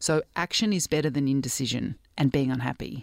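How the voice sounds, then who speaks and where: The recording is very clean, with a silent background and a dry, close sound with no echo. A woman speaks at a very deep, low pitch. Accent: Australian. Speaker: doctor, cyclist and sports commentator. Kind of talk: interview conversation.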